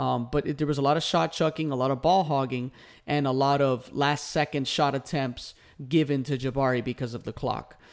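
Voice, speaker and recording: Recorded very cleanly against a silent background, a man with a normal speaking voice talks fairly quickly at a fairly high pitch. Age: 20s. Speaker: basketball podcast host. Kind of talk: solo podcast commentary. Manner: casual with frequent fillers.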